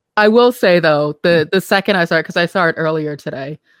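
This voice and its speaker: Recorded very cleanly against a silent background, with a dry, close sound and no echo, a woman with an American accent talks at a fairly quick pace in a fairly low pitch with ordinary pitch variation and an unremarkable speaking voice. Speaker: podcast host and company CEO. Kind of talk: casual chat.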